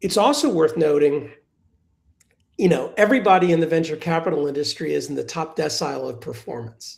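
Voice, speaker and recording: A man with a fairly high voice speaks with vocal fry and ordinary pitch variation. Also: fairly quick pace. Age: 60s. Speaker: venture capital investor. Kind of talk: live webinar panel conversation. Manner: conversational with frequent restarts and fillers.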